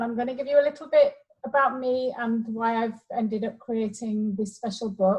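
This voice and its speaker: Her voice has a fairly high pitch and ordinary pitch variation as the woman speaks in an English accent. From England. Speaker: educator and math book author. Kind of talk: interview.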